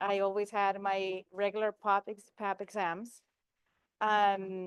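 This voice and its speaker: Very slowly and in a flat monotone, a woman with a Spanish accent speaks at a medium pitch, the sound dry and close with no echo. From Argentina. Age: 50s. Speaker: cancer survivor. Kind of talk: testimony. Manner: halting.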